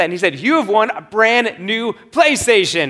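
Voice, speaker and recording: The man in this clip talks at a moderate pace. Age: 30s. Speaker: pastor. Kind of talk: sermon.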